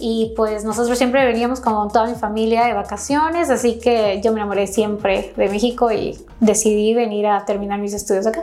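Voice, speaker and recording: Audible room echo and noticeable background noise surround the recording. A woman speaks with a fairly high pitch and fairly even intonation. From Ecuador, Quito. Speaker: aesthetic medicine doctor. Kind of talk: interview.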